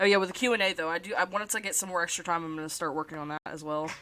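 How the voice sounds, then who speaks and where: A woman speaks at a very fast pace with fairly even intonation. Her pitch is fairly low and her tone is bright and sharp. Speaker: streamer and animator. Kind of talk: casual live stream chat while drawing. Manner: halting, frequent self-corrections. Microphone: problematic mic, repositioned to avoid static.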